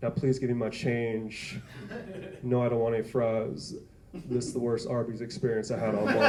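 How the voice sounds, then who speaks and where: In an American accent, a man talks at a moderate pace and medium pitch, with audible room echo. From New York (the Bronx). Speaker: stand-up comedian. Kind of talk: stand-up. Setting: stage with audience. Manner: animated.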